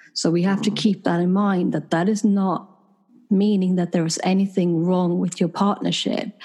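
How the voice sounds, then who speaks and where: The tone is dark and mellow, the intonation flat and monotone, and the pace moderate. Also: woman, medium pitch for a woman. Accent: Swedish. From Sweden. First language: Swedish. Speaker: clinical psychologist and couples therapist. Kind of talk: interview.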